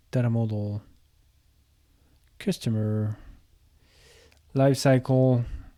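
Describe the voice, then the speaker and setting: Long, frequent pauses interrupt speech that moves at a very slow pace. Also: woman. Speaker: software product presenter. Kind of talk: software tutorial demo. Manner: casual, hesitant with fillers.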